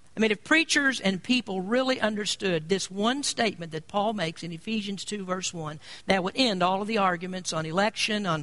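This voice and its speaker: A man's high-pitched, raised, projected voice with a bright, sharp tone. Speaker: pastor. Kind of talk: sermon.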